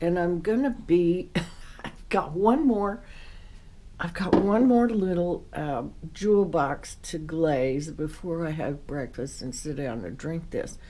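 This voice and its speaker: Very slow speech with lively intonation and big swings in loudness, plus audible room echo and noticeable background noise. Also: woman, fairly low pitch for a woman. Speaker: potter. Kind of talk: casual tutorial while working. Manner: relaxed, soft-spoken.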